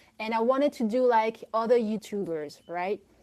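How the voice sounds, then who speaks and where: Her dark, mellow tone carrying at a fairly slow pace, a woman speaks. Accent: French. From Belgium. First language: French. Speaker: filmmaker. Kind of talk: audience question. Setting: online audio room. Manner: halting.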